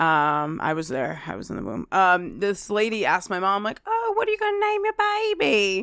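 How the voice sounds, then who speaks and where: This is a woman with an American accent, speaking at a moderate pace. The recording is very clean, with a silent background. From Kearny, New Jersey. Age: 20s. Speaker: comedian. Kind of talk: casual chat.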